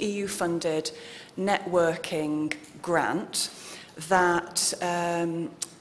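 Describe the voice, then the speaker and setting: A woman at a medium pitch with a British accent, amid audible room echo and noticeable background noise. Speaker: researcher. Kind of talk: conference presentation. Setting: conference hall with audience.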